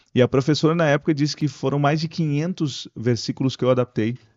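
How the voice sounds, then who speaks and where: Speaking in a plain, everyday voice, a man with a fairly high pitch uses lively intonation at a fairly quick pace. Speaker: radio broadcaster and pastor. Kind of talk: podcast interview answer. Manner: casual, conversational.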